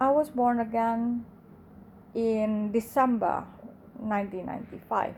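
Speaking with an Indonesian accent, a woman with a fairly high pitch talks at a very slow pace, leaving long, frequent pauses. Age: 40s. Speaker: podcaster. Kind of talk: testimony. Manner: halting.

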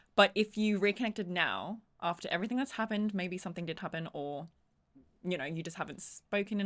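With an Australian accent, a woman speaks at medium pitch and a fairly quick pace on a very clean recording with a silent background. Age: 20s. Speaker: podcast co-host. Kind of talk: casual chat.

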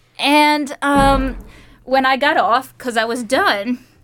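A woman speaks in a high pitch. She has an American accent. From United States. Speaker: PhD student in museum studies. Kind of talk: casual chat.

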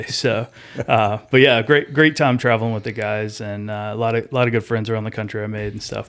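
Talking at a fairly quick pace, a man with a Southern US accent has a medium pitch. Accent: Southern US (Georgia). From US South, rural Georgia. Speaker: airport construction project manager. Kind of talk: casual chat.

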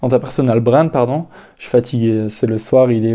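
A man's medium-pitched voice carries a dark, mellow tone. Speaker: solo podcaster giving personal development advice. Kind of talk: casual monologue. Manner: halting, with many fillers and repetitions.

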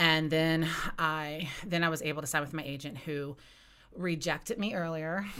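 In an American accent, a woman speaks with a very deep, low pitch and a bright, sharp tone, with audible room echo. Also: fairly even intonation, moderate pace. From West Virginia, Eastern Panhandle. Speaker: author. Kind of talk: casual interview.

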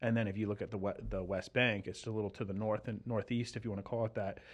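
Speaking at a fairly quick pace, a man uses a normal speaking voice with fairly low pitch. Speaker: retired military analyst. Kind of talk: casual discussion about current events.

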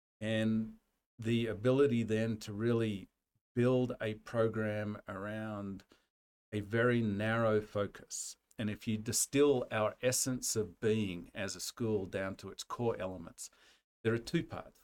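The man has a medium pitch and an Australian accent. He talks at a fairly slow pace with fairly even intonation on a very clean recording with a silent background. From rural Australia. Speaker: university dean and veterinary scientist. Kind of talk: casual interview.

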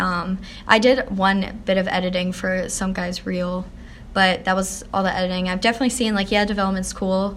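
A woman with an American accent speaks at a fairly quick pace in a medium pitch, using a plain, everyday voice with fairly even intonation. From Pennsylvania, near Philadelphia. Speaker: college student, aspiring TV director. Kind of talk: interview, casual chat. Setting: college building lobby.

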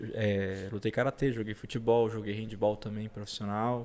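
Against a very clean, silent background, a man speaks in a flat monotone at a fairly low pitch. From Brazil, southern Pará (Parauapebas). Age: 30s. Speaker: racing driver. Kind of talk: casual interview chat.

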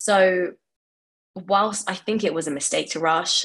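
A woman is talking here. Her accent is London. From West London. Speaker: furniture designer. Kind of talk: interview.

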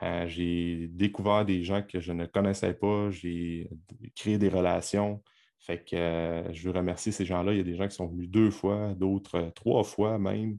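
A man speaks at a fairly slow pace in a Quebec accent, his pitch very deep and low and his tone dark and mellow. His intonation stays monotone and flat against a quiet background. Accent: Québécois French. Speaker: podcast host and fitness coach. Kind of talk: solo podcast monologue. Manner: hesitant, many filler words.

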